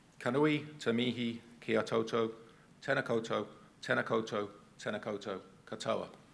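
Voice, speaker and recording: Pausing long and often, a man at medium pitch speaks with vocal fry and fairly even intonation. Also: moderate pace. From England, Cambridge. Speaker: transport agency executive, conference speaker. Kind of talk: conference presentation. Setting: stage with audience.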